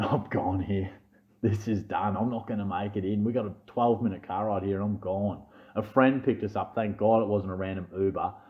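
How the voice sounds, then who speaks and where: A man with a fairly low voice talks at a fairly quick clip. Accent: Australian. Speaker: fantasy sports youtuber. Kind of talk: casual vlog chat. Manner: stuttering; animated.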